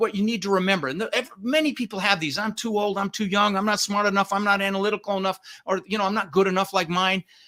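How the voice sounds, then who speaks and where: Raised and projected, a man's high-pitched voice comes out bright and sharp at a very fast pace. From Denver, Colorado, US (born in the Netherlands). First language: Dutch. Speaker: real estate investor and coach. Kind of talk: podcast interview. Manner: animated.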